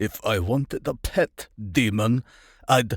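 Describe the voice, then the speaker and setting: In a German accent, a man uses a put-on character voice at medium pitch. The recording is very clean, with a silent background. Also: fairly slow pace. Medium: read story. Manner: mocking, menacing.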